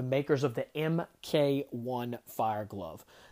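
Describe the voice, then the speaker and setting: In a very clean recording with a silent background, a man speaks in an animated tone at medium pitch, with ordinary pitch variation. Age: 30s. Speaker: firefighter podcast host. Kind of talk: casual interview.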